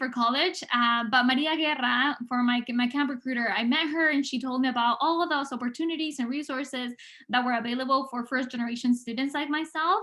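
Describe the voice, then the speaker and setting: A high-pitched woman with a Spanish accent, at a fairly quick pace with ordinary pitch variation. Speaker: public health researcher. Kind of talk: prepared speech. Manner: hesitant, many fillers.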